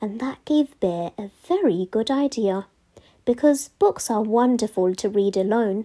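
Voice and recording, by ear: A passage is read aloud in a natural voice.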